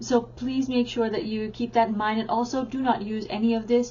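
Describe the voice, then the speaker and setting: A woman speaks at a moderate pace in an ordinary speaking voice, her pitch fairly high. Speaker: teacher and parenting educator. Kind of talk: tutorial.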